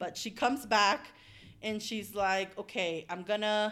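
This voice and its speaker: Recorded very cleanly over a silent background, a woman talks at medium pitch and moderate pace with ordinary pitch variation. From US (raised undocumented), returned to Mexico. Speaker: podcast co-host and migrant rights organizer. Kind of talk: casual chat.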